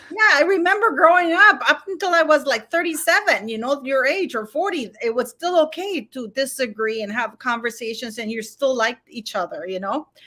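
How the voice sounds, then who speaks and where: A woman's high, raised, projected voice at a fairly quick pace, with very wide pitch swings. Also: big swings in loudness. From Canada. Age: 50s. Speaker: YouTube commentator. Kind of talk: casual chat. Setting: livestream. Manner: halting.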